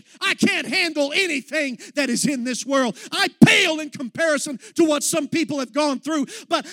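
In a dry, close sound with no echo, a man raises and projects his voice at an extremely high pitch, passionate and intense, his pitch swinging very widely at a moderate pace. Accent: American. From Texas. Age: young. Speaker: young minister, guest preacher. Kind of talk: sermon. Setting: church service with congregation. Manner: passionate, intense.

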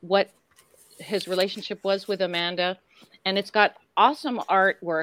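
A woman speaks at a moderate pace with an unremarkable speaking voice and medium pitch. The sound is dry and close, with no echo. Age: 60s. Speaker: horror actress guest at conventions. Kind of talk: casual chat.

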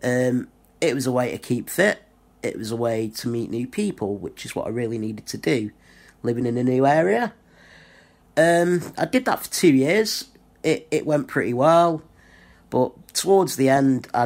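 With a Lancashire accent, a man speaks at medium pitch and a moderate pace, with lively intonation. He takes long, frequent pauses on a very clean recording with a silent background. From northwest England (Blackpool). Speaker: YouTuber, wrestling fan. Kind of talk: personal video monologue.

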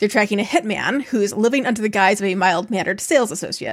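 An unremarkable speaking voice comes through in an American accent with lively intonation. The recording is very clean, with a silent background. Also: woman. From upstate New York. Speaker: podcast co-host. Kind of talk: reading aloud; casual chat.

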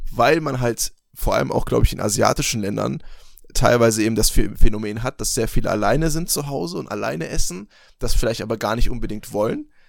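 A man's fairly quick speech with vocal fry and ordinary pitch variation. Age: 20s. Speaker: podcast co-host. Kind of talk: casual chat.

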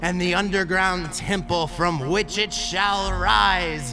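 Over loud music in the background, a man cackles in a shrill, high-pitched put-on character voice at a fairly slow pace. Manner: cackling, screeching, unhinged.

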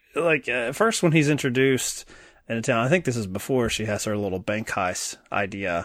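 A man speaks in an American accent at a moderate pace. His pitch is medium, and he has a normal speaking voice. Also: lively intonation. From Kentucky, US South. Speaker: podcast host. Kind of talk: casual chat.

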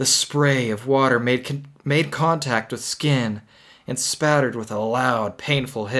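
With ordinary pitch variation, the text is given in an unforced reading voice.

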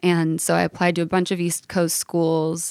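On a very clean recording with a silent background, a woman with an American accent speaks in a fairly low pitch and monotone, flat intonation, the sound dry and close with no echo. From Los Angeles, Southern California. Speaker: singer-songwriter. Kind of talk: casual interview.

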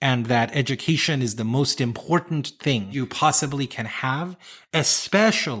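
In an American accent, a normal speaking voice moves at a moderate pace with lively intonation, recorded very cleanly against a silent background. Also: man. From US South, South Carolina and North Carolina. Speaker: accessibility consultant, CEO. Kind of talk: interview.

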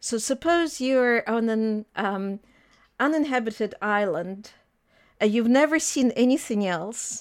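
Fairly slow, lively speech from a woman with a fairly high voice and a Russian accent, on a very clean recording with a silent background. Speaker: economics lecturer. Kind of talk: interview.

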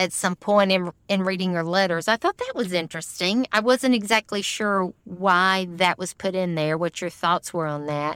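A woman's ordinary speaking voice at a medium pitch, moderate pace and ordinary pitch variation, with hardly any pauses, in a dry, close sound with no echo. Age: 50s. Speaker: podcast co-host. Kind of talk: casual film discussion.

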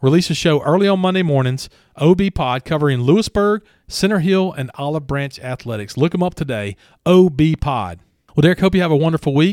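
In a very clean recording with a dry, close sound, no echo and a silent background, a man with a Southern US accent talks fairly quickly with a fairly high pitch and lively intonation. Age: 40s. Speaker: local podcast co-host. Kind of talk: casual chat.

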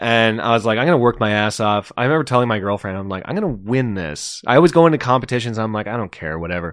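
Speaking at a very fast pace with hardly any pauses, a man with a Canadian accent uses lively intonation at a medium pitch. The recording is very clean, with a silent background. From Ontario, Canada. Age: 30s. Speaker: comedian. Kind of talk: casual chat. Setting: host's bedroom. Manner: animated.

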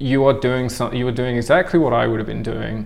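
With a New Zealand accent, a man talks in fairly even intonation amid audible room echo. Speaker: tattooer and suspension practitioner. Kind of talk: interview conversation. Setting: recorded at a body art convention.

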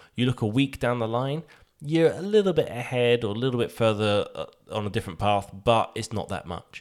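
A man in a British accent speaks with lively intonation. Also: medium pitch for a man, fairly quick pace. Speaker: podcast co-host. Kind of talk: casual chat.

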